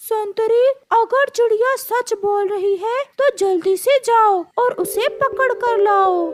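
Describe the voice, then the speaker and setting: The cartoonish character voice sits at an extremely high pitch. Its delivery is fairly slow. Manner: commanding, authoritative.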